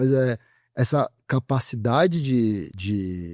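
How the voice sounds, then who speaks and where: A man speaks at a medium pitch with a strong São Paulo accent. The recording is very clean with a silent background, and the sound is dry and close with no echo. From Brazil, São Paulo. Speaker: growth and AI specialist. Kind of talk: podcast interview. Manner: casual, colloquial.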